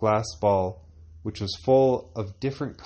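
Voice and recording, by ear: Natural-voiced reading aloud with ordinary shifts in pitch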